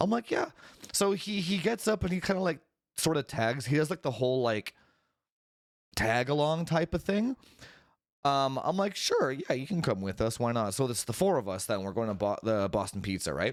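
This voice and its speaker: Quiet and fairly high-pitched, a man talks at a moderate pace with very wide pitch swings. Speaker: tech podcast host. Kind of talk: casual chat. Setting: live stream with chat. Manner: talking quietly.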